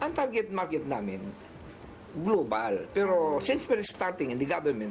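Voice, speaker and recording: Moderately paced, a man's speech swings very widely in pitch against noticeable background noise. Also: fairly high pitch for a man. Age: 60s. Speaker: inventor. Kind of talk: interview.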